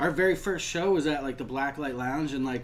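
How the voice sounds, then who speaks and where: Amid noticeable background noise and audible room echo, a man with an American accent speaks at a fairly quick pace, medium in pitch with fairly even intonation. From Toledo, Ohio, US Midwest. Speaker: rapper. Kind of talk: casual chat.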